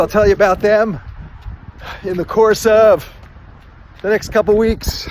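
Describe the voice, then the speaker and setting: Over noticeable background noise, a man with a high-pitched voice speaks at a fairly slow pace with fairly even intonation. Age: 60s. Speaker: amateur runner, boater. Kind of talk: casual vlog narration while running.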